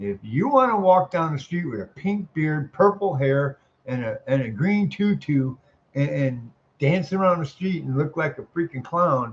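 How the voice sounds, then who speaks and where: A man speaks with an American accent, fairly high in pitch and somewhat breathy. His pace is fairly slow, and his pitch swings very widely. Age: 60s. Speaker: military veteran making a response video. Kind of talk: casual political monologue. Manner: animated; repetitive, halting restarts.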